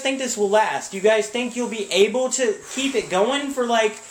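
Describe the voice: A man speaks at a fairly slow pace. Room echo is audible around him.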